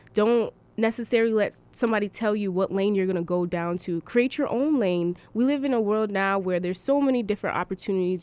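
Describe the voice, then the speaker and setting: A woman with an American accent at medium pitch, with ordinary pitch variation, on a very clean recording with a silent background. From Connecticut, New Britain. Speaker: college student. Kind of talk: radio interview. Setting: studio.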